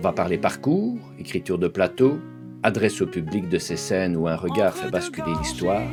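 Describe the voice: Over clear background music, a man talks at a moderate pace in a low voice with lively intonation.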